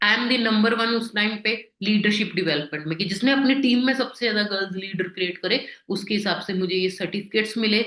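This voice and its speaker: With a Punjabi accent, a woman talks at a moderate pace in a bright, sharp tone at a fairly high pitch, with hardly any pauses. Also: ordinary pitch variation. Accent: Punjabi-accented Hindi. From Punjab, India. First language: Punjabi (speaking Hindi). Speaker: network marketing business leader. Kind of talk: motivational presentation.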